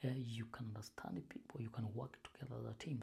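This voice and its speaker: A Kenyan accent at a fairly quick pace. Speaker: YouTuber giving job advice. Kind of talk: informal advice talk to camera. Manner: halting, many fillers and repetitions.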